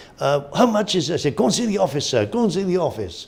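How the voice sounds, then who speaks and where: A man speaks with a Welsh accent. His intonation is lively. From Wales. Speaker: auctioneer. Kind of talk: interview answer. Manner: casual, hesitant.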